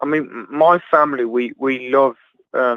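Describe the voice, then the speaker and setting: A man speaks with a slight Birmingham accent. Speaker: travel vlogger and livestream host. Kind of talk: casual chat. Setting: video livestream chat.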